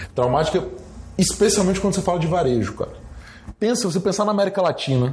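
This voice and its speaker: A man with a high voice speaks with lively intonation over noticeable background noise. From Brazil, Espírito Santo (Guarapari). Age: young. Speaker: retail entrepreneur. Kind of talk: interview. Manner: casual, filler-heavy.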